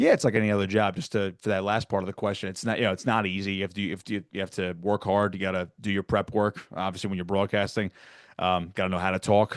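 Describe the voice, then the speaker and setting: With a New Jersey accent, a man talks at a very fast pace in a fairly low, monotone, flat voice, the sound dry and close with no echo against a quiet background. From South Jersey near Atlantic City. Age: 20s. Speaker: sports broadcaster. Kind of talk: podcast interview.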